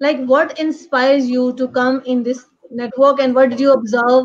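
Monotone, flat intonation at a moderate pace against a quiet background. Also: woman. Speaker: host of online panel. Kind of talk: interview questions and casual panel talk. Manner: halting. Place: home room. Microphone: video call.

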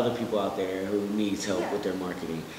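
A man's voice comes through audible room echo and light background noise. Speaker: interview guest. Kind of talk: interview answer. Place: studio.

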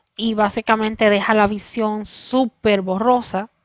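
This voice has a Puerto Rican accent and a very slow pace, with monotone, flat intonation against a quiet background. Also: woman, dry sound with no echo. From Puerto Rico. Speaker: video creator. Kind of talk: personal vlog testimony. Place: home room. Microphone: headset.

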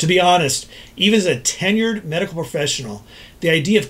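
With lively intonation, a man speaks rather quickly. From Texas, Dallas. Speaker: ENT doctor. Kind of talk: scripted explainer. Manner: formal. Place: office.

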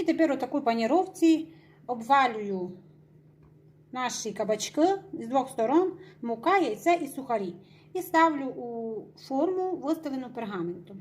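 A woman with a Transcarpathian accent speaks at a high pitch with very wide pitch swings and long, frequent pauses. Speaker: home cook. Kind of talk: cooking tutorial narration.

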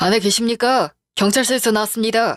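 This put-on character voice sounds raspy and moves at a fairly quick pace. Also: female-sounding voice. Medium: audio drama. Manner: formal, curt.

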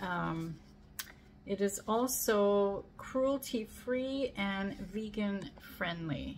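A woman speaks at a very slow pace with ordinary pitch variation. Light background noise sits behind her. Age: 50s. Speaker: beauty product reviewer. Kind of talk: casual product review to camera. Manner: casual, hesitant with fillers. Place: home room.

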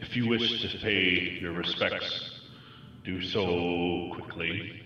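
With strong echo around him, a man speaks at a very slow pace in a very deep, low pitch with fairly even intonation. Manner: urgent, somber, practical.

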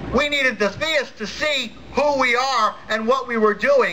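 A man's extremely high, raised and projected voice, energetic in tone, with ordinary pitch variation and a fairly slow pace over light background noise. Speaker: atheist activist speaker. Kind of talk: rally speech. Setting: stage with audience. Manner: animated; energetic crowd-rousing, jokey. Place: stage.

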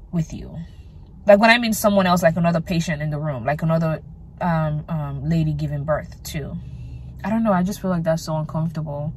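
A somewhat breathy woman with a very deep, low pitch talks at a fairly quick pace with ordinary pitch variation, recorded with a dry sound with no echo and light background noise. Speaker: vlogger. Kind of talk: casual vlog chat. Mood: chatty, mildly complaining. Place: car. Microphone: earbuds.

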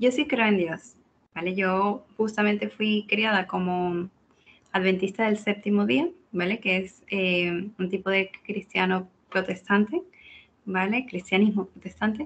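A woman speaks in a normal speaking voice at medium pitch. Her pace is fairly slow, with ordinary pitch variation. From Venezuela, Caracas. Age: 20s. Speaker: data scientist. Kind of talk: interview.

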